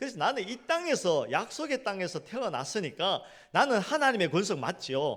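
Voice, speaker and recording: Animated in tone, a man speaks at a high pitch with very wide pitch swings and a moderate pace. The recording is very clean, with a silent background. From South Korea, Gyeongsang region. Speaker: pastor. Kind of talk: sermon.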